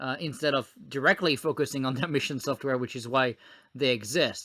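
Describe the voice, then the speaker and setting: A man with a French accent speaks at a fairly high pitch with a bright, sharp tone. His intonation stays fairly even on a very clean recording with a silent background. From France. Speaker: former government technology officer. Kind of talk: podcast interview. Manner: frequent hesitations and fillers.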